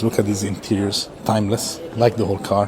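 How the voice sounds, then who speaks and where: Noticeable background noise accompanies a man whose voice is fairly low. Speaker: car vlogger. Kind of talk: casual walkaround video. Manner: fast; animated.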